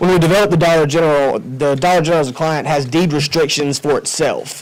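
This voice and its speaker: A man talks at a fairly quick pace in a monotone, flat way. Noticeable background noise sits behind him. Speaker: commercial real estate developer. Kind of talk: public presentation at a county board meeting. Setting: county commissioners' meeting room. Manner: loud.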